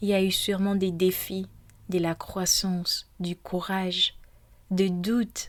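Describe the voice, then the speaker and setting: With long, frequent pauses, a woman speaks in a gentle tone at a medium pitch, her intonation monotone and flat. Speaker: podcast host. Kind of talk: guided meditation intro, personal reflection. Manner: hesitant, with fillers; gentle, soft.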